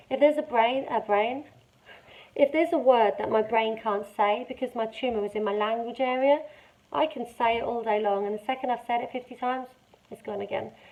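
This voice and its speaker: This woman's fairly high voice moves at a fairly quick pace with ordinary pitch variation. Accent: British. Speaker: vlogger sharing her cancer journey. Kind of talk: casual talk to camera. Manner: halting, word-finding pauses.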